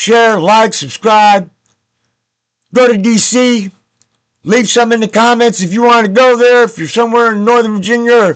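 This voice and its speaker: A man talks in a high pitch. His speech has long, frequent pauses. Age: 60s. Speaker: political video blogger. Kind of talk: personal vlog monologue. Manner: halting, many fillers and restarts; impassioned.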